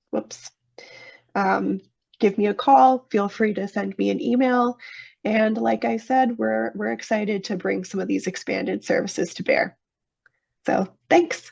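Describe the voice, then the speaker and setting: A woman at a fairly slow pace, with long, frequent pauses against a quiet background. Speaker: technical assistance provider presenting to water utilities. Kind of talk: webinar presentation.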